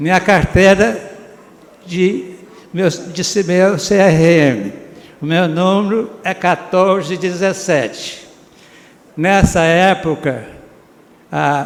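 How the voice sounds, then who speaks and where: A man's high-pitched voice at a very slow pace, with long, frequent pauses, audible room echo and noticeable background noise. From Brazil, Minas Gerais (Prata). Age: 80s+. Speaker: retired doctor honored at civic ceremony. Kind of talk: acceptance speech. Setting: council chamber ceremony. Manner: halting.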